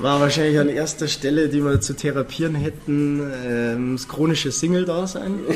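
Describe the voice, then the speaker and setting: Moderately paced speech in a Bavarian accent, fairly even in intonation, with hardly any pauses and noticeable background noise. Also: man, fairly high pitch for a man. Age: 20s. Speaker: cabaret comedian. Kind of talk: casual chat.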